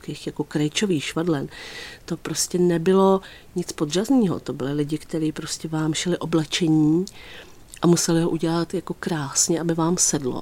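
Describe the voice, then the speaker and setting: On a very clean recording with a silent background, a dark, mellow voice speaks at a moderate pace with fairly even intonation. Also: woman. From Czech Republic, Písek (South Bohemia). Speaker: fashion designer. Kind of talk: radio interview. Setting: radio studio.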